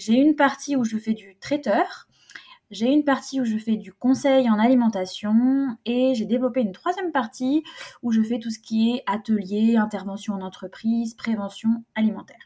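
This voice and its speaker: A woman with a fairly high pitch uses an ordinary speaking voice, with ordinary pitch variation. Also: moderate pace. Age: 20s. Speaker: private chef and food consultant. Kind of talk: casual interview.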